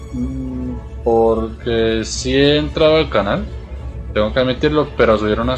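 A man speaks at a moderate pace in a very deep, low voice with very wide pitch swings. Faint music plays in the background. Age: 20s. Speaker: streamer, psychology student. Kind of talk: casual live-stream gameplay commentary.

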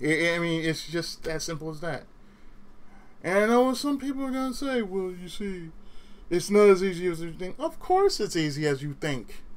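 In an American accent, a man speaks at a high pitch and moderate pace, animated in tone and lively in intonation. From California. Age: 30s. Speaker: gaming YouTuber. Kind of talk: solo commentary rant.

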